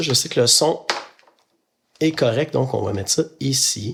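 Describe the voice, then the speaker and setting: At a medium pitch, this man sounds somewhat breathy, and his pitch varies in an ordinary way. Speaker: podcaster. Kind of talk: casual chat while building Lego. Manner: hesitant, many filler sounds.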